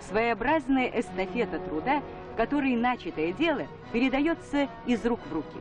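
The voice moves at a moderate pace with music in the background. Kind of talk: newsreel narration.

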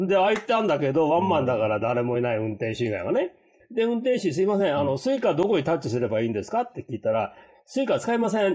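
A man's dark, mellow voice at a very fast pace, with very wide pitch swings over a quiet background. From Japan, raised in the US from childhood (San Francisco). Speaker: podcast co-host. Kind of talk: casual chat. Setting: hotel room, remote call. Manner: hesitant, many fillers. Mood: amused, lively. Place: home room.

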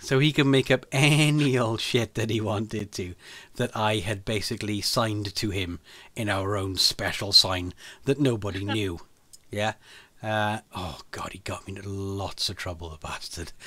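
A man speaks at a moderate pace in a fairly low pitch, with a bright, sharp tone. His pitch varies in an ordinary way, and the background is quiet. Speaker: podcast host or guest. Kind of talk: casual podcast conversation, storytelling. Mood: amused, laughing anecdote. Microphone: studio mic.

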